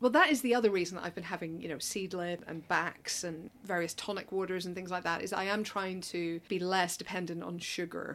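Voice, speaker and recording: A woman's medium-pitched voice at a fairly quick pace, with hardly any pauses and ordinary pitch variation, on a very clean recording with a silent background. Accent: Northern Irish. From Northern Ireland. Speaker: film journalist, podcast co-host. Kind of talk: casual interview chat.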